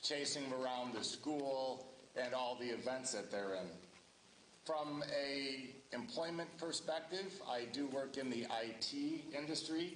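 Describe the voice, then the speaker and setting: Speaking fairly slowly in a Midwestern US accent, the voice keeps very even loudness and ordinary pitch variation, with noticeable background noise and audible room echo. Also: man, fairly high pitch for a man. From Ohio. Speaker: local election candidate. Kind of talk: candidate introduction at public forum. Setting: public forum with audience and microphone.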